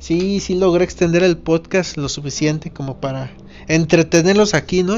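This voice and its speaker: Here a man speaks in a central Mexican accent at a high pitch. His pace is fairly slow, with ordinary pitch variation. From Mexico, Irapuato, Guanajuato. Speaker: podcast host. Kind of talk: casual monologue. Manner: halting, many repetitions.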